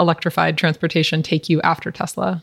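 Her voice is a plain, everyday voice, and the woman speaks at a fairly low pitch and a moderate pace, with a dry, close sound and no echo. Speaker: podcast host. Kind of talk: interview, polished intro.

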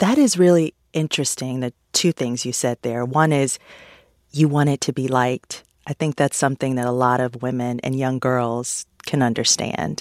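At a moderate pace, a woman with a very deep, low pitch speaks with ordinary pitch variation in a very clean, silent recording that sounds dry and close with no echo. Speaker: interviewer. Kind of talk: interview.

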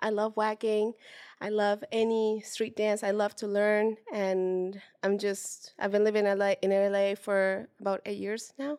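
A woman at medium pitch with monotone, flat intonation and a fairly slow pace. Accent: Spanish. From Mexico, Puebla. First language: Spanish. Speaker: street dancer and dance teacher. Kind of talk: interview.

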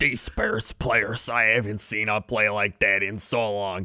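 A man uses a put-on character voice that is raspy and fairly low-pitched. He talks at a fairly slow pace in a flat monotone.

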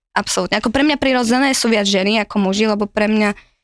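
A woman speaks in an ordinary speaking voice at a fairly quick pace with ordinary pitch variation. The sound is dry and close, with no echo. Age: 20s. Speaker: guest sharing dating stories. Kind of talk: casual chat.

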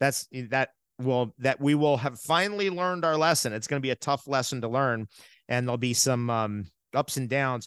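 A man with an American accent and an unremarkable speaking voice talks at medium pitch and a moderate pace with ordinary pitch variation. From New York and New Jersey. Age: 50s. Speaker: natural health advocate. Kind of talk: casual interview.

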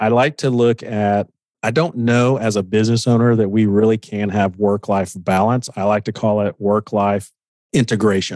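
In a normal speaking voice, a man with an American accent talks at a moderate pace and a fairly low pitch with ordinary pitch variation, the sound dry and close with no echo. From Oklahoma. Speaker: business coach. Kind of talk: interview.

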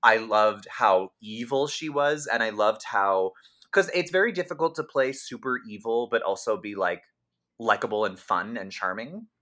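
A man's medium-pitched, bright, sharp voice with lively intonation at a moderate pace, on a very clean recording with a silent background. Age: 30s. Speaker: podcast host and comedian. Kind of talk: casual chat.

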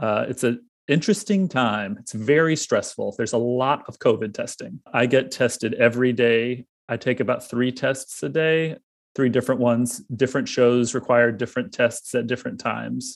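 A man with an unremarkable speaking voice, medium in pitch, at a moderate pace with ordinary pitch variation. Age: 30s. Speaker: theater prop supervisor. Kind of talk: casual interview.

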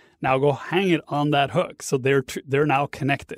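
In a very clean recording with a silent background and a dry, close sound without echo, a man with a Norwegian accent talks at a fairly quick pace in a fairly high pitch. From Norway. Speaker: online course instructor. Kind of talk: interview.

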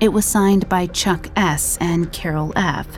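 Noticeable background noise runs under the recording. A woman speaks in a serious tone with a fairly low pitch. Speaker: podcast narrator. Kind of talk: true-crime narration, scripted and read aloud. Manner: serious, measured, grave storytelling tone.

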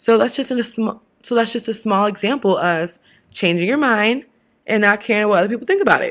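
A woman with a West Coast US accent talks at a fairly quick pace in a very clean recording with a silent background. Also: ordinary pitch variation. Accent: General American, West Coast. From US West Coast, Washington state. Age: 20s. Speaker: podcast host, advice giver. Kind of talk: casual monologue. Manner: animated.

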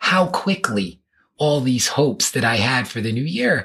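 The speaker talks with a New York accent. The pace is fairly slow. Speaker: podcast guest sharing personal story. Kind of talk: interview conversation.

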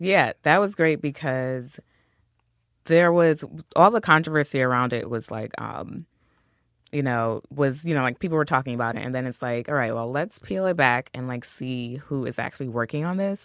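Speaking at a moderate pace with an American accent, the voice comes through on a very clean recording with a silent background. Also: man, medium pitch for a man, ordinary pitch variation. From US, Queens, New York. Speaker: pop culture and music writer. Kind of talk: casual chat. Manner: halting, many fillers.

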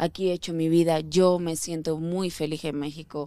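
A woman talks at a moderate pace in a dark, mellow tone, fairly low in pitch with monotone, flat intonation. The recording is very clean, with a silent background. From Andalusia, Spain. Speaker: actress. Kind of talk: casual chat.

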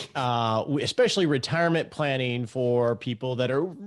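Against a quiet background, a man with an unremarkable speaking voice and a medium pitch talks at a moderate pace. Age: 50s. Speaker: financial planner and podcast host. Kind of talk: interview. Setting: remote call.

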